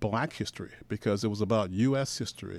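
A man with an American accent speaks at a fairly quick pace in an ordinary speaking voice, with a fairly low pitch. The recording is very clean, with a silent background. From Portland, Oregon. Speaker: filmmaker and historian. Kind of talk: radio interview. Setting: radio studio.

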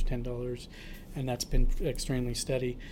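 Here is a man with an American accent at a medium pitch. His intonation is monotone and flat. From Portland, Oregon. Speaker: homeless services director. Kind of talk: interview. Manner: halting.

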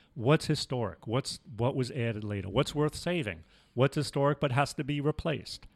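A man with an American accent and an unremarkable speaking voice talks at a moderate pace, medium in pitch, with lively intonation. The sound is dry and close with no echo, in a very clean recording with a silent background. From New York City, the Bronx. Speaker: retired preservation program founder. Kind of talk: casual interview.

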